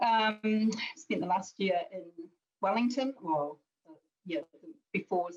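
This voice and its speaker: Somewhat breathy, this woman's voice sits at a medium pitch. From New Zealand, Bay of Islands. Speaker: police commander. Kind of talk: panel discussion.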